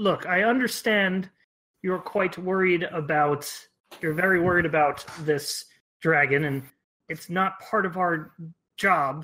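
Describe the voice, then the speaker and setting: A man in a put-on character voice, high pitched and at a fairly slow pace. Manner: calming, reassuring.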